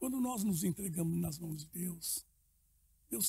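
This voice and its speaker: A man speaks at a moderate pace with a high pitch. His tone is dark and mellow. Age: 70s. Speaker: pastor. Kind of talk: casual chat. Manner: halting.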